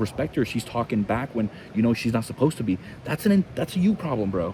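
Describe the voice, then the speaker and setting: Fairly quick speech from a man at a medium pitch, with noticeable background noise. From Cuba. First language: Spanish. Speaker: fitness coach. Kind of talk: casual podcast chat.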